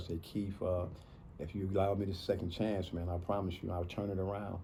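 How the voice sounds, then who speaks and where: The voice is dark and mellow, somewhat breathy, with monotone, flat intonation. Audible room echo surrounds it. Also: man. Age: 60s. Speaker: man in addiction recovery. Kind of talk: personal testimony in interview. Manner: halting with many fillers.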